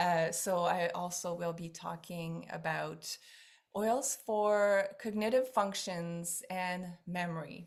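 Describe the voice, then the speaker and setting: A woman with a French Canadian accent speaks very slowly in a fairly low voice, her pitch varying in an ordinary way. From Quebec. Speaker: essential oils seller. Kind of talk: online class. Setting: video call. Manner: animated.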